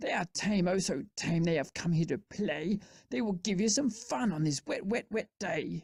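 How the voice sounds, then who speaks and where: A woman uses a put-on character voice at a medium pitch and a moderate pace. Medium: read story. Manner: bouncy, showman-like.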